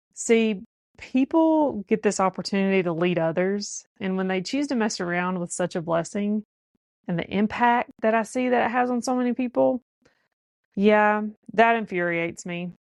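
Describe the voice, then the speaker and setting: Speaking at a medium pitch with lively intonation, a woman with a Southern US accent is recorded in a dry, close sound with no echo. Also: quiet background. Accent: Southern drawl. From US South. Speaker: podcast host. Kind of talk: podcast monologue.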